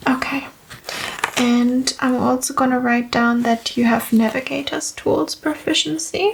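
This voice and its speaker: A soft-spoken woman with a high pitch talks at a fairly slow pace with lively intonation and very even loudness, over noticeable background noise. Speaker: game master explaining character creation. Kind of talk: ASMR roleplay.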